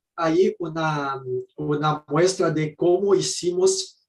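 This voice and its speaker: A man speaks at a very slow pace with a Brazilian accent. His pitch is fairly high, with ordinary variation. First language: Portuguese (speaking Spanish). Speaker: architect. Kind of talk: presentation. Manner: halting.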